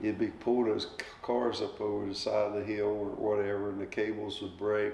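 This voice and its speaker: At a fairly quick pace, a man with a fairly low pitch speaks over noticeable background noise. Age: 70s. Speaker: retired railroad welder. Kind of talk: oral history interview answer.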